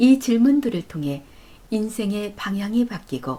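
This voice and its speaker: A woman's somewhat breathy voice with a dark, mellow, calm tone, a very slow pace and very wide pitch swings. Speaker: narrator. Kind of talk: audiobook reading of life advice. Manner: calm, soft-spoken.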